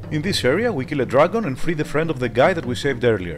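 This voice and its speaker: Music plays in the background as a man with a Greek accent talks at a very fast pace with very wide pitch swings. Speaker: retro game reviewer. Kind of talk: game review voice-over. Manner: casual, humorous.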